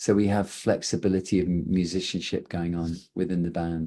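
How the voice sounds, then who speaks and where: A man speaks with an English accent in a very deep, low pitch and a dark, mellow tone. His intonation stays monotone and flat against a quiet background. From England. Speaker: rock band singer. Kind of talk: press conference interview.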